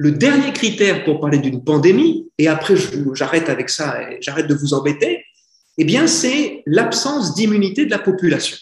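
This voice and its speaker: His voice sits high for a man, and he speaks at a moderate pace. His pitch swings very widely. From France. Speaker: Dominican friar lecturing on care ethics. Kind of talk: lecture. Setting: conference with audience. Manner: conversational.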